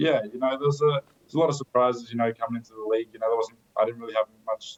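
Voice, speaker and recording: A man with a medium-pitched voice talks very fast. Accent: Australian. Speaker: basketball player. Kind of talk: interview.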